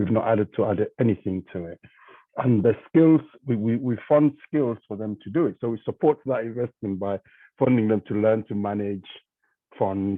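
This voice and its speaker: A man with a non-native accent speaks at a moderate pace and a fairly low pitch. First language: not English. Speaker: charity trustee. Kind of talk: panel discussion.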